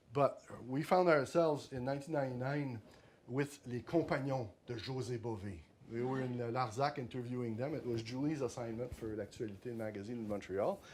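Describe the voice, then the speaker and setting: A fairly quick pace from a man at a medium pitch, with ordinary pitch variation. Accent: French. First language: French. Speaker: author. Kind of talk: book talk. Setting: library talk with audience. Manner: halting, many repetitions.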